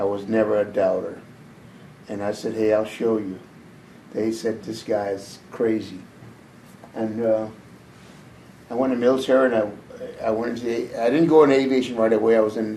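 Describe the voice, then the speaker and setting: Room echo is audible as a man speaks with an American accent at a medium pitch. He keeps a moderate pace with long, frequent pauses. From US South, Memphis, Tennessee. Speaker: war veteran. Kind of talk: oral history interview.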